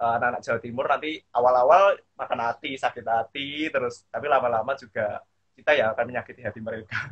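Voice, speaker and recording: A man's medium-pitched voice, ordinary in its pitch variation, at a very fast pace. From Central Java, Indonesia. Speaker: alumni speaker. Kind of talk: casual online talk. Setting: video call.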